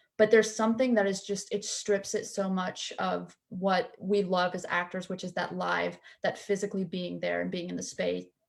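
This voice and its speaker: Speaking with a Southern US accent, a woman keeps a moderate pace. She leaves hardly any pauses. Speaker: student actor. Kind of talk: panel talkback discussion.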